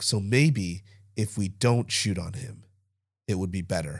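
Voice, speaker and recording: Recorded very cleanly with a silent background, a man speaks at a fairly low pitch, somewhat breathy, with ordinary pitch variation. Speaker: podcast co-host. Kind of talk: casual sports talk chat. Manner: laughs often.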